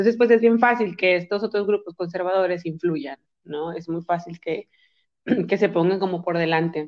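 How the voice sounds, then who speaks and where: A woman at medium pitch, ordinary pitch variation, and a moderate pace. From Mexico, Monterrey. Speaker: psychologist and sexologist. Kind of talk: casual chat.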